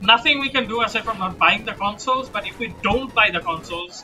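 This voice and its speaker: A man with a non-native accent and ordinary pitch variation, music playing in the background. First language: not English. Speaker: gaming streamer. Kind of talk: casual chat. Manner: halting.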